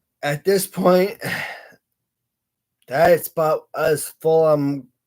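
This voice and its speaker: A man is speaking. His pitch is fairly high. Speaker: live streamer. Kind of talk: casual chat. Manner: slurred, halting.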